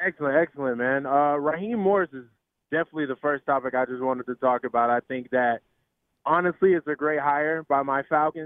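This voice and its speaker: A plain, everyday voice from a man, fairly high in pitch, with ordinary pitch variation and a fairly quick pace. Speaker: caller. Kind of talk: sports radio call-in.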